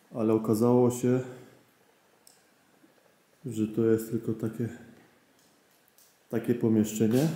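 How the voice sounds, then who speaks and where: A man with a dark, mellow tone talks at a fairly slow pace in a monotone, flat intonation, with audible room echo. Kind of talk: casual vlog narration. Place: tunnel cave. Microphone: phone near.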